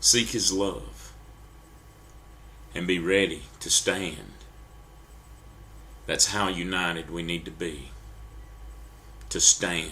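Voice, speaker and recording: Speaking very slowly with long, frequent pauses, a man with an American accent uses a very deep, low voice with a bright, sharp tone and vocal fry, his pitch swinging very widely. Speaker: preacher. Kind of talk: sermon. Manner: halting.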